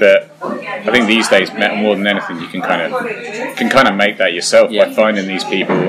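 A man talks at a fairly quick pace with audible room echo. Noticeable background noise runs under the recording. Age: 30s. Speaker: guitar pedal maker. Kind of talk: casual chat. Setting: pub. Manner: animated.

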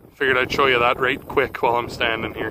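A man talks at a fairly quick pace. There is noticeable background noise, and the sound is dry with no echo. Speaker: farm vlogger. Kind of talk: casual vlog chat. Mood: relaxed. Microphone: phone near.

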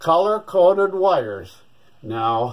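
With a quiet background behind him, a man talks very slowly. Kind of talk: tutorial. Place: workshop. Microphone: phone near.

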